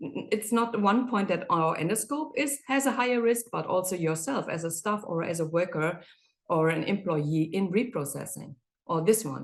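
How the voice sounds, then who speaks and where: A woman's medium-pitched voice with very wide pitch swings. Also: moderate pace. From Germany. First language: German. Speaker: endoscopy reprocessing specialist. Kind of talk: webinar presentation. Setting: online webinar. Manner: halting.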